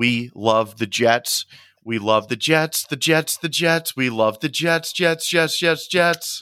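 A man's fairly high, bright and sharp voice, very slow, with lively intonation and a dry, close sound free of echo. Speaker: podcast co-host. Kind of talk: casual banter podcast. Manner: jokey, casual.

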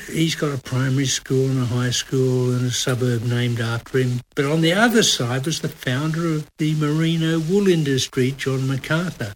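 With an Australian accent, a man talks at a moderate pace and medium pitch, using ordinary pitch variation and hardly any pauses. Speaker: podcast host and comedy writer. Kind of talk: casual chat.

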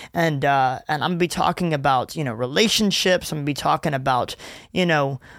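With a Southern US accent, a man speaks at a fairly high pitch with ordinary pitch variation. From Louisiana and Gulfport, Mississippi. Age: 20s. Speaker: youth ministry worker and podcast host. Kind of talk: casual solo podcast monologue. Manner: casual, laughing often.

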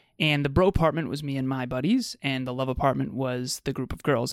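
With ordinary pitch variation, a man talks at a fairly quick pace on a very clean recording with a silent background. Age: 30s. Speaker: podcast host, relationship coach. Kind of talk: casual chat.

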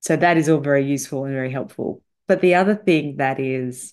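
A woman's very deep, low voice at a moderate pace against a quiet background. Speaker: salary negotiation coach. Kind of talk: solo podcast monologue. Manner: animated.

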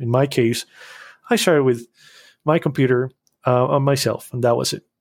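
The recording is very clean with a silent background and a dry, close sound with no echo, as a man with a Spanish accent speaks at a medium pitch and a fairly quick pace. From Costa Rica. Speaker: animation studio founder. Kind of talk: interview. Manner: halting.

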